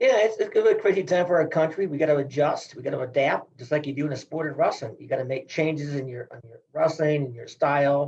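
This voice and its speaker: Speaking very fast with hardly any pauses, a man with a Midwestern US accent uses a fairly high, somewhat breathy voice with ordinary pitch variation and big swings in loudness. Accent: US Midwest. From Iowa. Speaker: retired wrestling coach. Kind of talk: interview.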